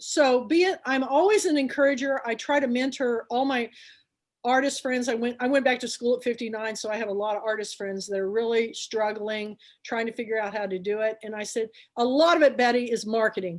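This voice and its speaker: The animated speech comes at a fairly quick pace in a very clean recording with a silent background. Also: woman, high pitch for a woman, ordinary pitch variation. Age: 60s. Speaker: book club founder and show host. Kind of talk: casual chat.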